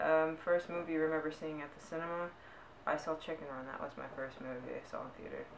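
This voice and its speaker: A voice with an American accent comes through over noticeable background noise. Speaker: vlogger. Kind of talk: casual vlog tag video. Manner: unenthusiastic.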